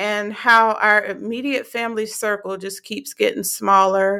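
A woman speaks at a very slow pace, her medium-pitched voice bright and sharp in tone. The recording is very clean, with a silent background. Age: 20s. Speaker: faith podcast host. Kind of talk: casual monologue.

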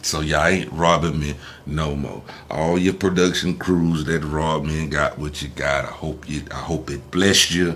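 Over noticeable background noise, a man speaks at a moderate pace. His pitch is very deep and low, and his intonation is monotone and flat. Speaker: entertainer and entrepreneur. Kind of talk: casual interview.

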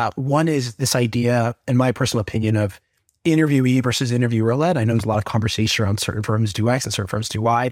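A man with an American accent talks at a very fast pace in a medium pitch, his intonation fairly even. The recording is very clean, with a silent background. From Atlanta, Georgia, US South. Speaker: case interview coach, MBA student. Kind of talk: interview. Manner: halting, frequent fillers and repeats.

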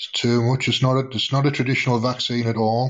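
Monotone, flat intonation in an English accent. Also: man. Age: 50s. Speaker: live audio room host. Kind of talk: casual chat. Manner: relaxed.

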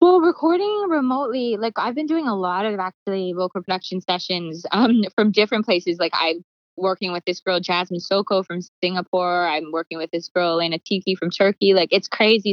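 A fairly quick pace in an unremarkable speaking voice. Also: woman. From Canada, Calgary. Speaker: songwriter and producer. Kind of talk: interview.

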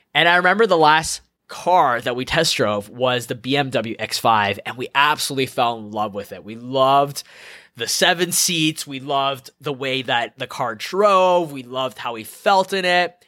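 The delivery is animated, with a bright, sharp tone, lively intonation and big swings in loudness. It runs at a moderate pace on a very clean recording with a silent background. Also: man, fairly high pitch for a man. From Canada, Edmonton. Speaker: podcast host, life coach. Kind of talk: solo monologue, personal story.

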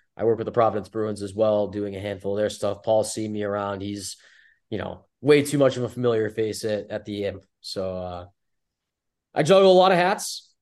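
Delivered at a fairly quick pace, this is an ordinary speaking voice. Its pitch variation is ordinary. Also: man, fairly low pitch for a man. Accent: American. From US New England. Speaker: team communications director. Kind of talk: interview, casual chat.

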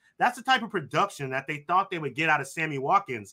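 A man projects a raised voice with a bright, sharp tone. His intonation is lively. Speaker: sports podcast co-host. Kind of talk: casual sports banter. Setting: live video call.

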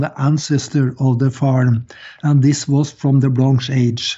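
The pace is very slow. The speaker has a Scandinavian accent. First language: Scandinavian language. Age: 70s. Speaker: author and Freemasonry researcher. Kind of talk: interview.

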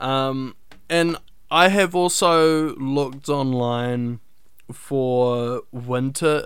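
A man speaks with a New Zealand accent. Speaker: podcast host and animation student. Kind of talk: casual solo podcast talk.

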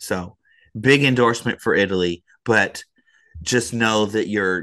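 A man's fairly low, bright and sharp voice with ordinary pitch variation over a quiet background. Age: 30s. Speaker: baseball podcast co-host. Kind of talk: casual chat.

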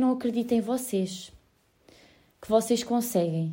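A woman speaks at a fairly slow pace with a fairly high pitch and a dark, mellow tone. Her pitch varies in an ordinary way. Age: 20s. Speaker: podcaster. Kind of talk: personal monologue.

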